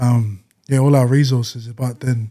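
A man with an Australian accent speaks at a medium pitch. His tone is dark and mellow, his intonation a flat monotone. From Western Sydney, Australia. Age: 20s. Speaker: rapper. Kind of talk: casual chat.

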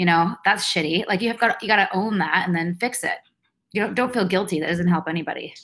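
A woman with a western Canadian accent talks at a very fast pace in a medium pitch with ordinary variation, captured in a very clean recording with a silent background. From Vancouver, Canada. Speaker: author and former cult member. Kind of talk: casual interview.

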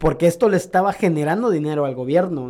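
Speaking very fast with a dark, mellow tone, a man's fairly high voice shows ordinary pitch variation. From Mexico, Córdoba, Veracruz. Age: 30s. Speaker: graffiti artist. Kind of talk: casual chat.

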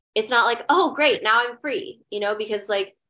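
This is an unremarkable speaking voice with fairly even intonation. The pace is fairly quick. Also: woman. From Hawaii and Indonesia, then Missouri. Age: 30s. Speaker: actor, model and director. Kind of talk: casual interview chat.

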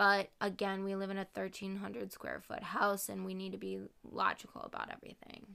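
In a very clean recording with a silent background, a woman talks at a fairly quick pace with an American accent. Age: 20s. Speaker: co-host. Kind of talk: casual chat.

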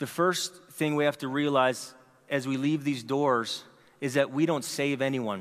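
An ordinary speaking voice: a man with fairly high pitch, at a fairly slow pace. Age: 40s. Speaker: pastor. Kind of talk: sermon. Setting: church.

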